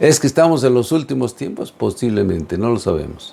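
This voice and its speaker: A man's voice swings very widely in pitch. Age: 70s. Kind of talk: religious teaching talk.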